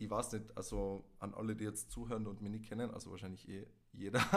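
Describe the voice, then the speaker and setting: A man's fairly low, monotone, flat voice at a moderate pace, with audible room echo. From Tyrol, Austria. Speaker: podcast guest, host's ex. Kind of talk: casual chat.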